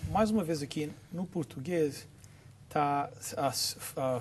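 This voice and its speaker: A man speaks very slowly in a somewhat breathy, fairly high voice with ordinary pitch variation. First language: English (speaking Portuguese). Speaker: Bible study show host. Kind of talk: religious discussion. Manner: halting.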